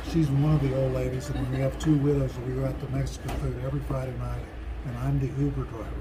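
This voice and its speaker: Over noticeable background noise and audible room echo, a man with a very deep, low pitch speaks at a very fast pace in a monotone, flat intonation. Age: 70s. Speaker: thru-hiker. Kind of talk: casual interview.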